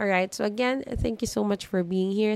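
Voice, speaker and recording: A woman's medium-pitched voice with a Filipino accent, fairly even intonation, and a moderate pace. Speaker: podcast host. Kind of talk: solo self-help monologue. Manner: Taglish code-switching.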